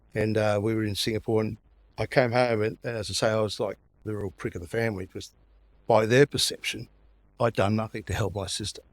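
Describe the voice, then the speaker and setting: A man talks very fast in a flat monotone at a fairly low pitch, recorded very cleanly against a silent background with a dry, close sound and no echo. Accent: Australian. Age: 60s. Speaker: podcast guest sharing mental health story. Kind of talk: personal testimony in casual interview. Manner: halting, repetitive.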